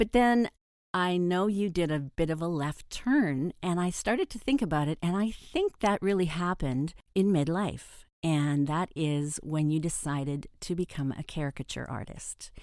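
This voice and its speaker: A woman's ordinary speaking voice, fairly low in pitch, with lively intonation and a moderate pace. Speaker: podcast host for midlife women. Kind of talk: podcast interview, conversational host.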